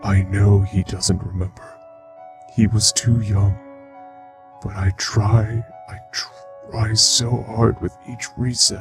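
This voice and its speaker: A man's very slow put-on character voice at a fairly low pitch, with clear music in the background. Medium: dub. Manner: soft-spoken, melancholy.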